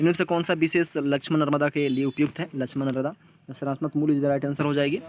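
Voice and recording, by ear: Speaking fast, a man with a fairly high voice keeps his intonation fairly even.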